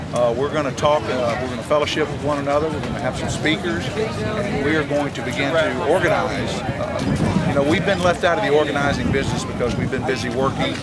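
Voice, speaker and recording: Loud background noise sits behind a man talking. He keeps a fairly quick pace with ordinary pitch variation. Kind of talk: interview answer. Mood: firm, indignant. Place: street. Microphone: handheld.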